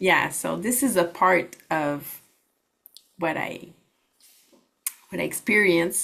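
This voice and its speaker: A woman with a Quebec accent, fairly low in pitch with ordinary variation, at a very slow pace with long, frequent pauses. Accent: Québécois French accent in English. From Quebec, Canada. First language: French. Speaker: holistic practitioner and network marketer. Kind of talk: workshop presentation.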